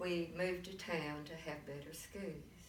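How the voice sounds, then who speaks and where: With a Texan accent, the speaker goes at a very slow pace in a monotone, flat intonation, with audible room echo and noticeable background noise. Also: woman. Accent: Texan Southern. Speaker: grandmother interviewed about history. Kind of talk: oral history interview.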